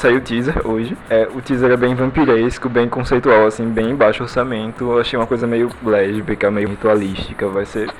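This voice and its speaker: At a moderate pace and with hardly any pauses, a man talks in a medium pitch over noticeable background noise. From Pernambuco, Brazil (Recife). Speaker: pop culture podcaster. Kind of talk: casual chat.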